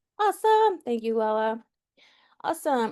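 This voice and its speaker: Against a quiet background, a woman with fairly high pitch and a normal speaking voice talks at a moderate pace. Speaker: workshop facilitator. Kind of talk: online workshop hosting; guided stretching instructions.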